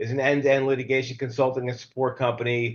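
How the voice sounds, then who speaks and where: This man talks at a fairly quick pace. His pitch sits at a medium level. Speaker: webinar host and legal services sales executive. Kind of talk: webinar introduction and sales plug. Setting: live video webinar. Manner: fast; animated, with many fillers.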